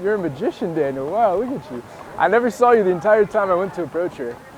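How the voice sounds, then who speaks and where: Noticeable background noise sits behind the recording. A man talks fairly quickly in a high pitch with lively intonation. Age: 20s. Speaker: dating coach. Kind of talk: casual chat. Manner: casual, conversational.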